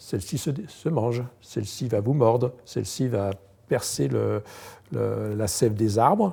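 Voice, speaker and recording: Over a very clean recording with a silent background, a man speaks in a medium pitch with a somewhat breathy voice, a dark, mellow tone and lively intonation. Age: 60s. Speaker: entomologist. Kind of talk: guided tour. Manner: hesitant, many fillers.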